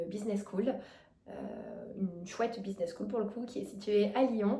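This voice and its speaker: With audible room echo around her, a woman talks in a fairly even intonation. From France, Drôme (near Valence). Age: 20s. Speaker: vlogger. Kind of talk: casual self-introduction vlog. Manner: fast; hesitant, many fillers.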